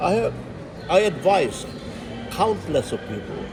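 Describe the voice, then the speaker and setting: A man's very slow speech comes with audible room echo and noticeable background noise behind it. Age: 80s+. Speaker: pastor and entrepreneur. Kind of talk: interview testimony.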